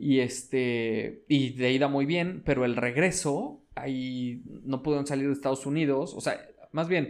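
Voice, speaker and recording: Speaking in a Mexican accent, a man uses a fairly high pitch and a fairly slow pace. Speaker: podcast co-host. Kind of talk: casual chat.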